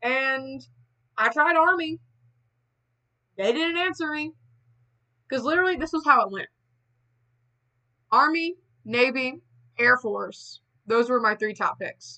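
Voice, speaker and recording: Over a quiet background, a woman with an American accent projects a raised, high-pitched voice with a bright, sharp tone, moving at a fairly slow pace with long, frequent pauses. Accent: Southern country accent, said to be heavy. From US South. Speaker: streamer. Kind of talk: casual chat. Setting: livestream away from home.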